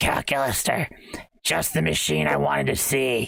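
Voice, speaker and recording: In a put-on character voice, a man growls in a raspy, very deep, low pitch. His pitch swings very widely while he keeps a moderate pace. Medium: game stream. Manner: haughty, scheming.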